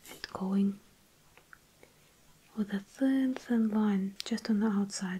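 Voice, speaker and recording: A soft-spoken, calm voice at a very slow pace, with fairly even intonation, long, frequent pauses, and noticeable background noise. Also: woman, medium pitch for a woman. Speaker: watercolour artist and art tutor. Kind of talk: instructional tutorial narration. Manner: soft-spoken, calm, relaxing.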